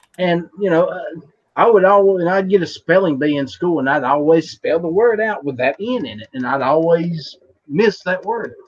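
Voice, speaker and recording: Speaking in a strong West Virginia accent, a man with a high voice talks at a moderate pace with lively intonation. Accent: thick West Virginia. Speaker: podcast host. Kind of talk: casual chat. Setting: live online show.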